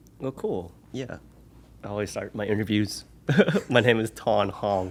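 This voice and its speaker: With an Oklahoma accent, a man speaks fairly slowly at a fairly low pitch. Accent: American, Oklahoma. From US, Oklahoma City. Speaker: podcast guest. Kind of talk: casual interview. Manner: animated.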